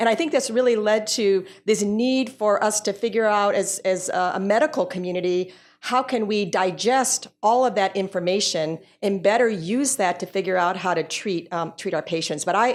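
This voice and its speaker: Recorded very cleanly over a silent background, a woman talks at a medium pitch and moderate pace with ordinary pitch variation. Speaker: physician in biotechnology. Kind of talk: panel discussion. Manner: loud.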